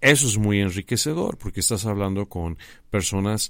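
In an ordinary speaking voice, a man speaks at a fairly slow pace, his pitch fairly low and his pitch variation ordinary. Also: very clean recording, silent background. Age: 50s. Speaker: graphic designer and teacher. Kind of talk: interview.

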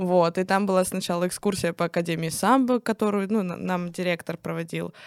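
In an unremarkable speaking voice, a woman with fairly low pitch talks at a moderate pace in a very clean, dry, close recording with no echo and a silent background. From Russia, Nizhny Novgorod region (Kstovo). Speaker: stripper. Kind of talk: casual chat.

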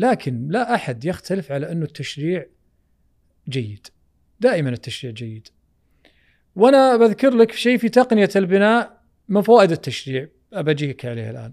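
The speaker talks at a moderate pace with long, frequent pauses, very wide pitch swings and big swings in loudness, on a very clean recording with a silent background. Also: man, high pitch for a man. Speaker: architect. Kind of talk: casual chat.

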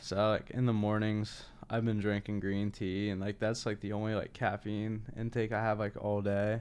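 Against a quiet background, a man with an American accent speaks fairly slowly in an ordinary speaking voice at a fairly low pitch. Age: 20s. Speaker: content creator. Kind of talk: casual chat.

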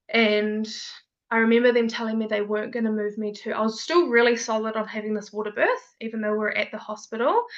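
This woman has a fairly high pitch and speaks at a very fast pace. Her intonation is monotone and flat. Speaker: mother sharing birth story. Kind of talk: casual interview, personal storytelling.

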